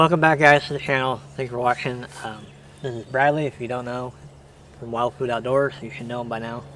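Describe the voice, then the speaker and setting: A man mumbles quietly in a monotone, flat intonation. His loudness swings widely. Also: medium pitch for a man, fairly quick pace. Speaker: outdoor hunting channel host. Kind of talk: casual interview chat. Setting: outdoors at a shooting range. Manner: mumbling.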